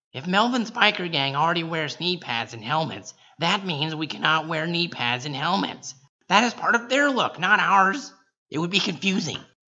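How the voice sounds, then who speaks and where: Putting on a character voice, a man speaks high in pitch at a moderate pace, swinging very widely up and down. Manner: exasperated, bossy, shouting.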